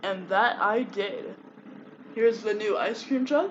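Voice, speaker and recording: Noticeable background noise sits behind this speaker. A man talks with an extremely high pitch and lively intonation. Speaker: YouTube commentary creator. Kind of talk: casual commentary.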